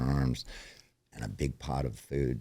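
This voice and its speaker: The speaker is a man. His pitch is very deep and low. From born in New York, raised elsewhere. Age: 60s. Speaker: recovering alcoholic, pool cleaner. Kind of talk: personal testimony in interview.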